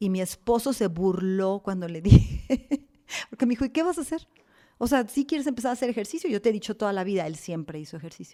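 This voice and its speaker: A fairly high-pitched woman with a dark, mellow tone races along at a very fast pace, her pitch swinging very widely, on a very clean recording with a silent background. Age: 60s. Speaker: businesswoman and longevity researcher. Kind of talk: interview. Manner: animated.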